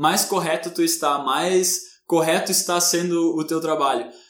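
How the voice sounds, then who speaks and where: A man's high-pitched voice at a fairly slow pace. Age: 20s. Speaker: podcast co-host. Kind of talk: casual discussion.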